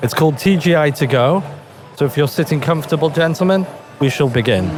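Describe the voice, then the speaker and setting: Backed by music, a man talks at a very fast pace and a fairly high pitch, with ordinary pitch variation and very even loudness. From England. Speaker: podcast host. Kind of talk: interview. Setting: trade show. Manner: playful.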